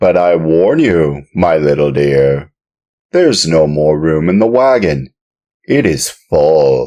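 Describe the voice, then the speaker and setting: A man's put-on character voice, very deep and low in pitch, at a fairly slow pace with very even loudness. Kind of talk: audiobook reading.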